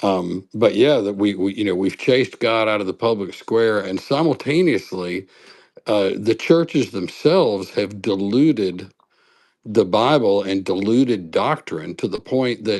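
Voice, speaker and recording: A normal speaking voice, fairly slow, with ordinary pitch variation, on a very clean recording against a silent background. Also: man, fairly low pitch for a man. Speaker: call-in guest. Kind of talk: casual chat.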